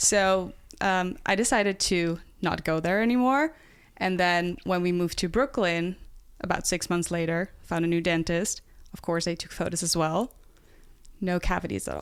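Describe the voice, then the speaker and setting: Speaking with a Dutch accent, a woman uses a fairly low pitch and ordinary pitch variation at a moderate pace. The recording is very clean, with a silent background. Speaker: nutrition health coach. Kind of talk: casual podcast interview.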